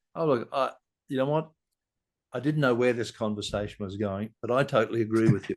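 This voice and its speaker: A man with an Australian accent talks at a fairly quick pace, using medium pitch and ordinary pitch variation. He leaves long, frequent pauses over a quiet background. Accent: Australian, noticeable. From Sydney, Australia. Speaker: leadership guest. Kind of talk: podcast conversation. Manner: halting, many restarts.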